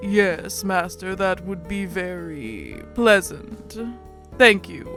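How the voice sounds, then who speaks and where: Over clear music in the background, someone uses a put-on character voice at a very slow pace. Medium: game stream. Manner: soft-spoken, hesitant, formal.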